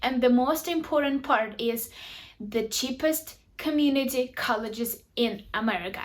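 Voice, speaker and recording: A woman with a Ukrainian accent, high pitch and ordinary pitch variation, at a fairly slow pace with very even loudness. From Ukraine. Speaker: YouTuber. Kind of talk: tutorial.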